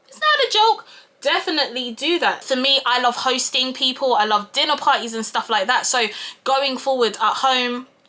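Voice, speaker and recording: A woman's raised, projected voice at a high pitch shows ordinary pitch variation and big swings in loudness at a moderate pace, with noticeable background noise. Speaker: YouTuber and project manager. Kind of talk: casual vlog talk while doing makeup.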